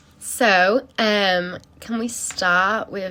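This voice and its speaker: The speaker is a woman in an English accent. Her pitch variation is ordinary. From England. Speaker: performance artist interviewing for a project. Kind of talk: interview. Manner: halting, filler words.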